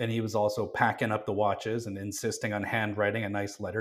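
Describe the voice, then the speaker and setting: Talking at a very fast pace, a man with a Canadian accent uses a fairly low pitch. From Calgary, Canada. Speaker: watch designer and brand co-owner. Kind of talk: casual chat. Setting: studio.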